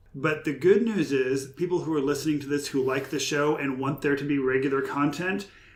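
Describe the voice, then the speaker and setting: A man speaks at a fairly quick pace with fairly even intonation and a fairly high pitch, over noticeable background noise. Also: hardly any pauses. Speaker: podcast co-host. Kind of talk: casual chat. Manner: loud. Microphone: far from the mic.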